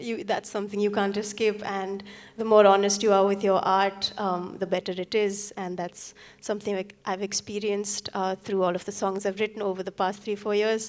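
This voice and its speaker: A woman speaks in a Nepali accent. Her intonation is flat and monotone. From Sikkim, India. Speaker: singer-songwriter. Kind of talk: stage talk between songs. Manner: hesitant, many fillers.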